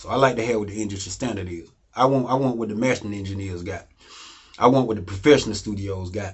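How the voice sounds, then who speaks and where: Speaking at a very fast pace, a man with a fairly low, somewhat breathy voice uses ordinary pitch variation while his loudness swings widely. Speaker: music producer teaching home recording. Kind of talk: tutorial. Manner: casual, conversational.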